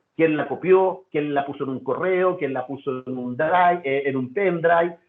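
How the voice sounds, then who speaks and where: The man's fairly high voice keeps to a moderate pace. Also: ordinary pitch variation. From Chile. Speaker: data security consultant. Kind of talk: webinar presentation. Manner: halting, with fillers and repetitions.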